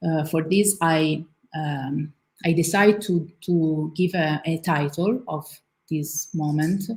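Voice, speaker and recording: The speaker has an Italian accent and talks at a very slow pace in a somewhat breathy voice with fairly even intonation. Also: woman, very deep, low pitch for a woman. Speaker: visual artist and art teacher. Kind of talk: artist talk. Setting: live event with in-person audience, livestreamed. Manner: halting.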